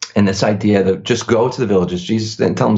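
Somewhat breathy, a man with an American accent speaks at a fairly quick pace. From US Northeast. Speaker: missionary church planter. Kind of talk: interview. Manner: halting, many fillers.

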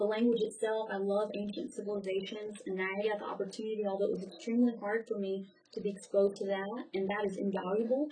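A somewhat breathy woman's voice with a dark, mellow tone, at a very fast pace, with an American accent. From US South. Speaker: graduate student and military veteran. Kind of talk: interview.

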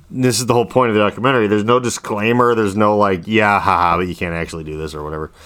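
A man with an unremarkable speaking voice, fairly low in pitch, talks with lively intonation on a very clean recording with a silent background. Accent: American. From US Midwest. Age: 40s. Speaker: podcast host. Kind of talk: casual chat.

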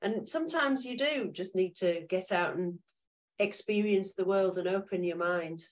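A woman with a Yorkshire accent and lively intonation. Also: medium pitch for a woman, moderate pace. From Yorkshire, northern England. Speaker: podcast host. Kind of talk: casual interview chat.

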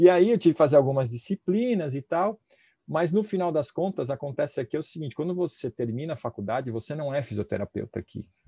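A man with a fairly high pitch and a dark, mellow tone speaks at a very fast pace, somewhat breathy, with lively intonation. His loudness swings widely, and the sound is dry and close with no echo. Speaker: physiotherapist and professor. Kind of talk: casual interview.

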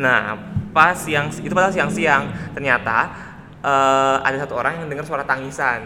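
Talk at a fairly quick pace, with noticeable noise behind it. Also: man. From Indonesia, Purwakarta (West Java). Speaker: podcast co-host. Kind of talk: casual chat.

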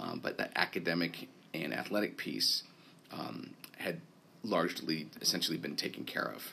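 A man with an American accent speaks at a moderate pace and a very deep, low pitch, with vocal fry and lively intonation. His tone is bright and sharp. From Vermont, US. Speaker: school head. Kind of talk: interview. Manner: hesitant, frequent fillers.

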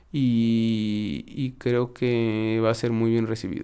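A man speaks with a Mexico City accent. His tone is dark and mellow. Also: very clean recording, silent background. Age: 30s. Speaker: musician. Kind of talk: casual chat.

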